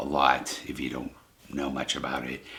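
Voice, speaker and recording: The voice belongs to a man. Noticeable background noise sits behind him. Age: 60s. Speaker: psychic channel host. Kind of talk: casual monologue to camera. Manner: halting, many fillers.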